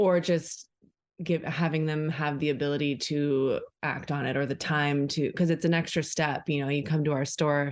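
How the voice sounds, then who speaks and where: A woman's very deep, low voice with an American accent, monotone and flat in intonation, at a moderate pace against a quiet background. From Orange County, California. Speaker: refill store owner. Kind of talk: casual chat.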